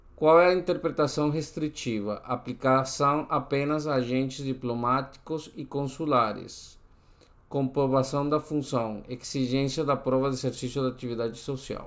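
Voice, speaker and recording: Here a man talks with a Spanish accent. His pitch sits fairly high. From Colombia. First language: Spanish (speaking Portuguese). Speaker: exam-prep tutor. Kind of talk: tutorial. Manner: halting, with frequent self-corrections.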